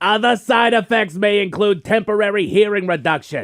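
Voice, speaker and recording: Shouting loudly, a man uses a high-pitched, put-on character voice. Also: moderate pace. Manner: yelling, loud.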